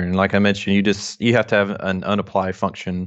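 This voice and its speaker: A man talks in a strong Southern US accent. His fairly low voice stays monotone and flat. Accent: thick Southern US drawl. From North Alabama, US South. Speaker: software developer. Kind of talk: casual interview chat.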